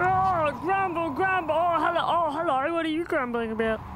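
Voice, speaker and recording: A put-on character voice with an extremely high pitch talks at a moderate pace amid loud background noise. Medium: read story. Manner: grumbling, copycat.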